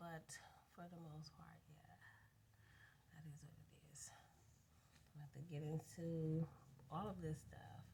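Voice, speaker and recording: A woman speaks with vocal fry. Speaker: vlogger. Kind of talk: casual rant. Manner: rambling, unstructured.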